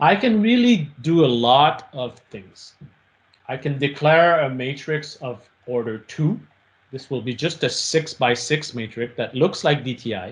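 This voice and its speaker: A man talks fairly slowly in a fairly high, somewhat breathy voice. His intonation is lively, and his loudness swings widely. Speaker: professor. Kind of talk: lecture. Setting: video call. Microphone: video call.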